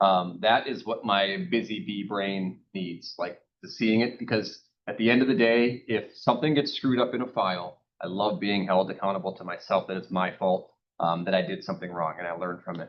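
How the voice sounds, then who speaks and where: A man with a normal speaking voice talks in a fairly low pitch with ordinary pitch variation. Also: fairly quick pace. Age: 30s. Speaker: real estate agent. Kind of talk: interview. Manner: filler-heavy, many ums.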